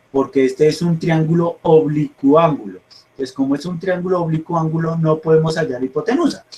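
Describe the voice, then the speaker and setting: Fairly quick and fairly high in pitch, this man's speech has ordinary pitch variation. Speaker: math teacher. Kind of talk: online class lecture. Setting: video call. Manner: fast; halting, repeats words.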